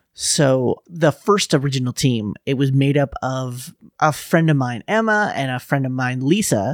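A man with an unremarkable speaking voice talks at a medium pitch and a moderate pace. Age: 30s. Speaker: theatre producer and stage manager. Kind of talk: casual chat. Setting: podcast interview.

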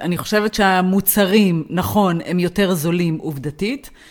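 A woman speaks at a moderate pace. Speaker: podcast co-host. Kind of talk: casual chat.

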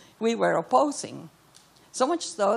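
With a Cuban accent and vocal fry, a woman talks at a moderate pace. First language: Spanish. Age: 80s+. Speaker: audience member. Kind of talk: audience question. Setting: stage with audience.

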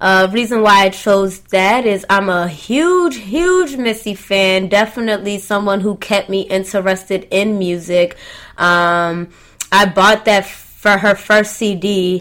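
With an American accent, a woman talks at a fairly slow pace in an unremarkable speaking voice, her pitch medium and her intonation fairly even. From US South (Atlanta). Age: 20s. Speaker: DJ and radio host. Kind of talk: casual chat.

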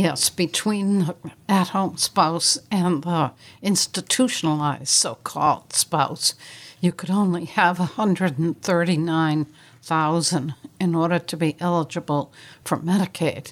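An unremarkable speaking voice from a woman, fairly low-pitched with ordinary pitch variation, at a fairly slow pace, on a very clean recording with a silent background. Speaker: estate planning and elder law attorney. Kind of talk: radio talk show discussion. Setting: studio.

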